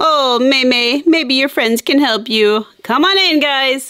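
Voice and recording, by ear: A woman's put-on character voice, high-pitched and bright with a sharp tone, slow in pace, with ordinary pitch variation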